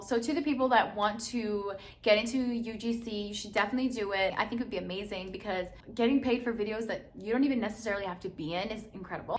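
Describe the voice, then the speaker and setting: Somewhat breathy and animated in tone, a woman talks at a very fast pace with audible room echo. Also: fairly high pitch for a woman. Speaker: lifestyle YouTuber and content creator. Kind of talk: casual vlog talk to camera.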